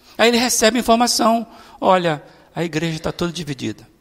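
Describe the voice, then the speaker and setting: Ordinary pitch variation marks speech that moves along at a fairly quick pace. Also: man. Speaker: pastor. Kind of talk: sermon. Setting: church.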